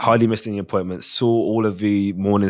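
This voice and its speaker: With a South London accent, a man talks very fast at a fairly low pitch in a flat, monotone way. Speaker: father. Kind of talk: casual chat.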